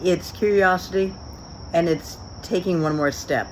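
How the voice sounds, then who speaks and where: There is noticeable background noise as a woman talks at a moderate pace. Her fairly low voice has fairly even intonation. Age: 60s. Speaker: business leader. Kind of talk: recorded acceptance speech.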